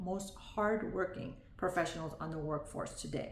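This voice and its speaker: Audible room echo plus noticeable background noise. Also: woman. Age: 40s. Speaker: vlogger, former nurse. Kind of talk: video diary monologue. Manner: reading from notes.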